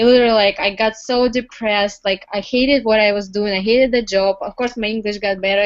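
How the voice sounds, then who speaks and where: A woman's medium-pitched voice moves at a fairly quick pace, her intonation fairly even. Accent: Russian. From Russia. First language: Russian. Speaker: entrepreneur. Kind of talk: interview testimony. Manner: halting, many fillers.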